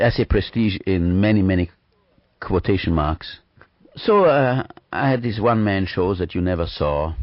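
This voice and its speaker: With a non-native accent, the speaker talks at a moderate pace with ordinary pitch variation. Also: man, fairly low pitch for a man. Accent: foreign. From Vienna, Austria. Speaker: performer. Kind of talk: radio interview. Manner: hesitant, many fillers.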